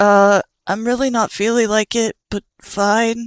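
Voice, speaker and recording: A whiny put-on character voice drags along at a fairly slow pace with monotone, flat intonation. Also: female-sounding voice, fairly high pitch for a woman. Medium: read story. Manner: whiny, hesitant.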